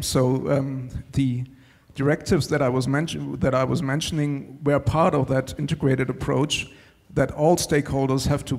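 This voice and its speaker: In a German accent, the speaker talks at a fairly quick pace with monotone, flat intonation and very even loudness. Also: man. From Germany. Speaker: panelist. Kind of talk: panel discussion.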